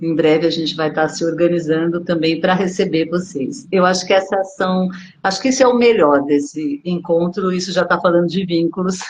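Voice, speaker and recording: Over noticeable background noise, a woman with a fairly low pitch and ordinary pitch variation speaks with hardly any pauses. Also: moderate pace. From Brazil, São Paulo. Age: 60s. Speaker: body therapist. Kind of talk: online dialogue / talk.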